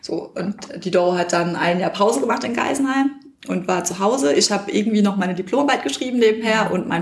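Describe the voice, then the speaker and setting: A woman at medium pitch, fairly quick pace and ordinary pitch variation, with noticeable background noise. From Palatinate, Germany. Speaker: winemaker. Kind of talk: interview. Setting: winery.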